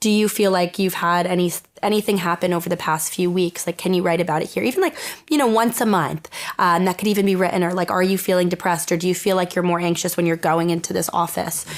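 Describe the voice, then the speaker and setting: A woman's fairly low voice at a very fast pace, with very even loudness, fairly even intonation and noticeable background noise. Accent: American. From Eastern Connecticut. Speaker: mental health blogger. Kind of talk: podcast interview answer. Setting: studio.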